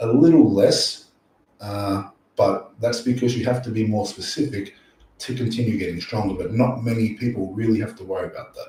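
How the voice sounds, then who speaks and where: Someone speaks at a moderate pace in an Australian accent. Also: man. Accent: Australian, sometimes mistaken for English. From Australia, near Sydney. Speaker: powerlifting coach and YouTuber. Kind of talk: live stream Q&A. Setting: live stream at night. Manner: casual, animated.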